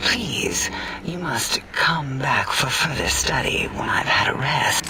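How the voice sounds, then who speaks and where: Whispering in a put-on character voice, a man speaks at a fairly slow pace. Loud noise sounds behind him. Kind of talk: video game voice acting. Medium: game stream. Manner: eccentric, clinical, rambling.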